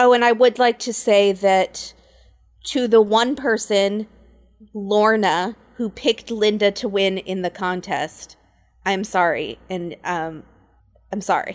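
With long, frequent pauses, a woman at a medium pitch speaks at a very slow pace. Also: ordinary pitch variation. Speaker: podcast host. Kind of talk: casual chat. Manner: talkative.

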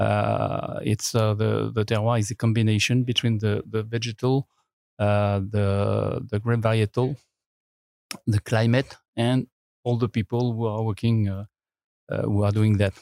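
A man with a French accent talks at a fairly slow pace and a fairly low pitch, his intonation monotone and flat. The sound is dry and close with no echo, and his loudness stays very even. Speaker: winemaker. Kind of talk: interview. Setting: studio. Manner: halting.

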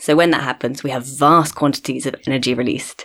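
In a very clean recording with a silent background, a woman with a southern English accent talks at a fairly quick pace in a very deep, low pitch. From London, England. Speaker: astronomer. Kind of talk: interview. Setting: studio.

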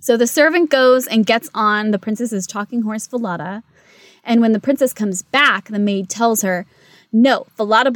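Someone reads aloud. A natural voice carries the text.

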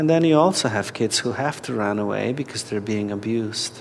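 Someone speaks with a Polish accent over music in the background. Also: man. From Poland. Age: 40s. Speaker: activist and spiritual director. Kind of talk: interview. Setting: at a conference.

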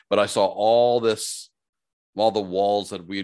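A man speaks with a Canadian prairie accent and a fairly low pitch. The background is quiet. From Saskatchewan, Canada (Saskatoon). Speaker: HR consultant and business speaker. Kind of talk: casual interview.

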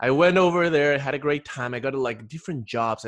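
A man speaks with a Spanish accent. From Ecuador. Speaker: podcast host. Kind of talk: casual interview chat.

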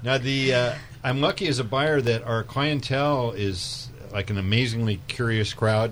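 A man talks at a moderate speed while noticeable background noise sits behind him. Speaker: wine shop buyer. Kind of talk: radio chat. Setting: studio.

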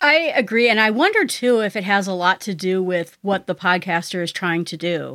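A woman with a bright, sharp tone and medium pitch speaks with ordinary pitch variation and hardly any pauses in a very clean recording with a silent background. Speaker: podcaster. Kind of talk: casual interview chat. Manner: fast talker.

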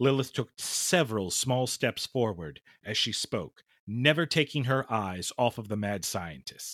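Someone reads in a natural voice.

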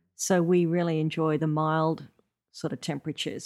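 Recorded very cleanly against a silent background, a woman with an Australian accent speaks at a very deep, low pitch and a moderate pace, with fairly even intonation and a dry, close sound that has no echo. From Coffs Harbour, eastern Australia. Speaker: musician. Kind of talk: casual chat. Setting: at the host's home. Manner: mellow.

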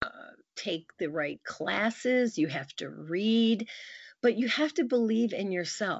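Her intonation lively, a woman speaks with a Midwestern American accent. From US Midwest, Michigan. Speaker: news anchor. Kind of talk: interview.

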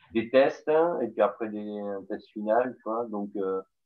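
Speaking with a southern French accent, a man talks at a fairly slow pace in a medium pitch. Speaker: podcast host. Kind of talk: interview.

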